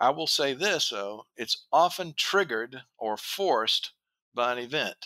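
In a dry, close recording with no echo, a man with an American accent speaks at a fairly slow pace, his fairly high voice bright and sharp with lively intonation. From US South. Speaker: business consultant, retired door dealer. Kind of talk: interview.

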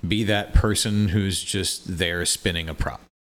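A man with an American accent speaks at a moderate pace and a fairly low pitch. The recording is very clean, with a silent background. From US Midwest, Quincy, Illinois. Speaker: flow artist and fire performer. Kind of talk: casual interview chat.

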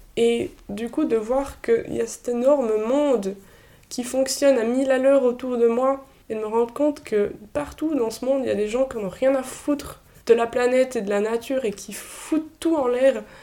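Her tone dark and mellow, a woman speaks at a high pitch and a moderate pace with ordinary pitch variation. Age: 20s. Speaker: medical student. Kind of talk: casual interview. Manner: halting, many repetitions.

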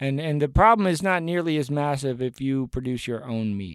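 A moderate-paced, lively intonation in an ordinary speaking voice with an American accent, on a very clean recording with a silent background. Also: man. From US South, Appalachia (Buncombe County, North Carolina). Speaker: rapper. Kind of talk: casual chat.

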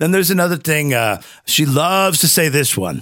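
A man with vocal fry and a bright, sharp tone speaks at a moderate pace. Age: 50s. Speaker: podcast co-host. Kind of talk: casual chat. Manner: halting, many fillers and restarts.

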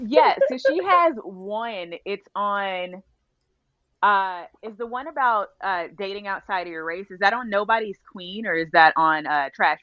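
In an American accent, a woman with a normal speaking voice talks at a fairly slow pace and medium pitch, her intonation lively and her loudness swinging widely. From Texas, Arlington. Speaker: realtor and trained chef. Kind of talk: casual chat.

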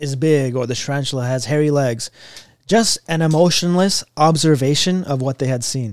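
On a very clean recording with a silent background and a dry, close sound with no echo, a man with an ordinary speaking voice talks at a fairly high pitch with ordinary pitch variation. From US, Pakistani immigrant family. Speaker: mental health professional. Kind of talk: casual chat.

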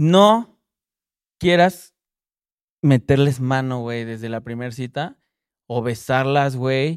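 A man with a Mexican accent speaks at a very slow pace and medium pitch, with long, frequent pauses and big swings in loudness. His pitch varies in an ordinary way, and the sound is dry and close with no echo. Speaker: rapper and music producer. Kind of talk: casual chat.

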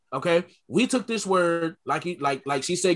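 A man with an American accent talks at a high pitch with lively intonation. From Connecticut, US. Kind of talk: casual group discussion.

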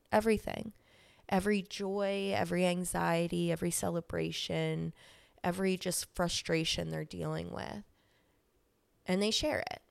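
In a very clean recording with a silent background, a woman talks at a moderate pace, leaving long, frequent pauses. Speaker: podcaster. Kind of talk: solo podcast monologue. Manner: self-deprecating, casual.

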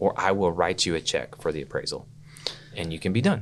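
Speaking in an American accent at a fairly quick pace, a man uses an ordinary speaking voice with a fairly low pitch. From Oklahoma City, Oklahoma. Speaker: business broker, entrepreneur. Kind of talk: interview.

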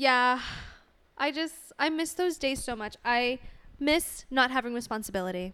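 On a very clean recording with a silent background, a woman uses a raised, projected voice, high in pitch and bright and sharp in tone, with lively intonation and long, frequent pauses. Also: moderate pace. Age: 20s. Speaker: podcast co-host. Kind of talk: casual chat.

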